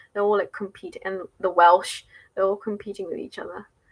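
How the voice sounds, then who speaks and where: A woman speaks with an English accent. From England. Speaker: spiritual livestreamer and English teacher. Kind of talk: casual livestream chat with viewers. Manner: casual, with frequent fillers.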